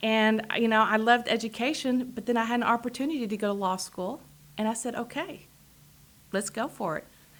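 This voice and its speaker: A woman with a strong Texas accent talks at a fairly high pitch with ordinary pitch variation. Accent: strong Texas drawl. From Texas, Amarillo. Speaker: political candidate, attorney. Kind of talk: interview.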